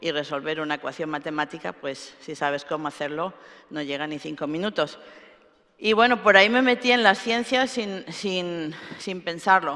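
Over a quiet background, a woman with a fairly low pitch and a bright, sharp tone speaks at a moderate pace, her intonation lively and her loudness swinging widely. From Spain, Alicante; Spain. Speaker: computer scientist; keynote speaker. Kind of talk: keynote lecture. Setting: stage with audience. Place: hall.

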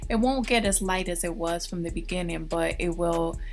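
Music plays behind the woman as she talks. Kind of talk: tutorial narration.

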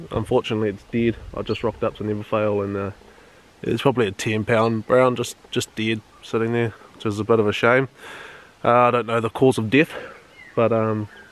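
A man speaks with monotone, flat intonation in a dry sound with no echo. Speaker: fishing vlogger. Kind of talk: casual vlog chat. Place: waterside. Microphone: phone near.

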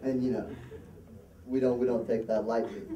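This is a man talking. Noticeable background noise can be heard. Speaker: amateur comedian at an open mic. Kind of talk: stand-up comedy, a long shaggy-dog joke about a debate told to a live conference crowd. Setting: stage with a live audience. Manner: loose, rambling storyteller, padding lines with um, uh and you know; plays to the crowd, pausing for laughs and throwing in asides. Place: hall. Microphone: pa.

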